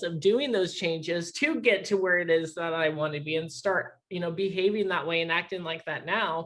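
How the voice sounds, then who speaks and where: A woman talks in a normal speaking voice at a fairly low pitch. Her pace is moderate, with ordinary pitch variation. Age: 20s. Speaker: interview podcast host. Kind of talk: casual interview.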